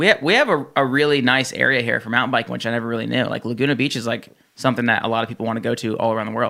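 A man's bright, sharp voice with vocal fry and an American accent, at medium pitch, very fast, with fairly even intonation. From New Jersey. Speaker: gym owner and fitness entrepreneur. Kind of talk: casual chat.

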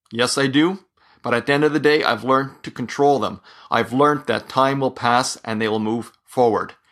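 Over a quiet background, a man with an ordinary speaking voice talks at a moderate pace and medium pitch, keeping his intonation fairly even. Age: 40s. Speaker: solo podcaster on mental health. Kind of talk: personal monologue.

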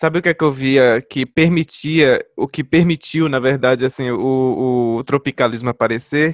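A normal speaking voice at a moderate pace with fairly even intonation, the sound dry and close with no echo against a quiet background. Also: man, medium pitch for a man. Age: 20s. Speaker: music podcast host. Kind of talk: casual chat.

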